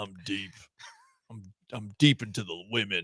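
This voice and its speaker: A put-on character voice at a moderate pace. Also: man, fairly low pitch for a man. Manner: macho.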